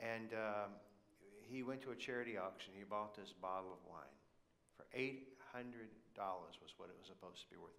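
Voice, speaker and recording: A man talks at a moderate pace with a fairly low pitch. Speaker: preacher. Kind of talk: sermon. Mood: humorous, relaxed anecdote. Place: church.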